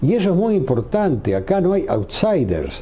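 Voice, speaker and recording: Audible room echo hangs around this recording. The man speaking has a fairly high voice. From Uruguay. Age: 70s. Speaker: retired radio journalist. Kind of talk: interview.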